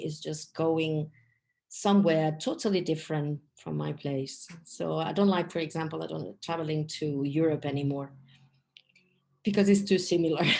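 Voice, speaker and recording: Against a quiet background, a woman with a non-native accent speaks at a moderate pace in a very deep, low, dark and mellow voice with ordinary pitch variation. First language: not English. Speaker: English teacher and travel guide. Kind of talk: podcast interview. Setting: studio.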